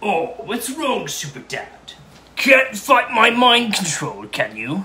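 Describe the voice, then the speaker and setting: A man speaks in a raised, projected voice at an extremely high pitch. His intonation is lively and his pace fairly slow. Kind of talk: comic overacting. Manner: gloating, taunting, theatrical.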